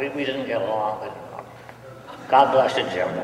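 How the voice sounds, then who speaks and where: A man with a fairly high pitch is speaking. Audible room echo and light background noise can be heard. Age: 80s+. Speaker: poet and underground film actor. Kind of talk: live poetry reading. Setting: live audience in a church. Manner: wry. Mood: wry, lamenting. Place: church. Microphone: podium.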